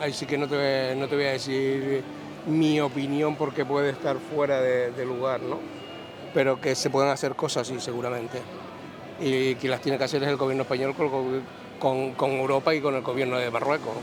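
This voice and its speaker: Amid audible room echo and noticeable background noise, a man with a Canarian accent speaks in a monotone at a moderate pace. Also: medium pitch for a man. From Canary Islands. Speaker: passerby interviewed on the street. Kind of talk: street interview. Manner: halting, repeats words.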